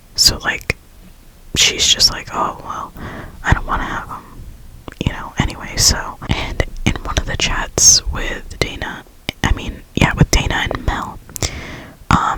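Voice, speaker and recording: Whispering at a fairly slow pace, a woman leaves long, frequent pauses, her loudness swinging widely against noticeable background noise. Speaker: ASMR creator. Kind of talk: casual whispered ramble about a reality show. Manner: whispered, chatty.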